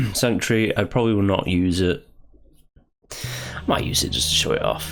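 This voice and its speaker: With music in the background, a man speaks at a fairly low pitch with lively intonation and long, frequent pauses. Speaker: gaming YouTuber. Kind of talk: casual gameplay commentary.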